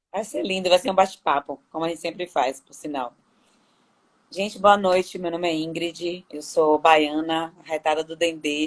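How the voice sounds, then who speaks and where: A woman with a Bahian accent speaks at a moderate pace in a fairly low voice, her intonation fairly even but her loudness swinging widely. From Salvador, Bahia, Brazil. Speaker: lawyer training as therapist. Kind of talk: casual chat.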